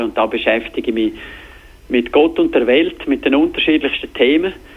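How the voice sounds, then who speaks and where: This man speaks with a Graubünden accent. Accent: Bündner dialect. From Switzerland, Graubünden (Davos). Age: 40s. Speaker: TV sports presenter. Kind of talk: interview. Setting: phone call.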